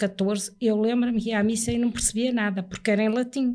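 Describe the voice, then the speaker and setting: A woman speaks with a fairly high pitch. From Portugal, Porto. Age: 70s. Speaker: churchgoer giving religious testimony. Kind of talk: testimony in podcast interview.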